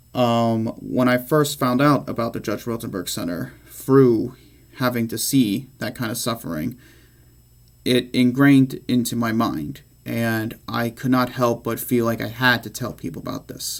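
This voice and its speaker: Ordinary pitch variation marks this man's medium-pitched voice. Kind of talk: speech about himself. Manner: unscripted.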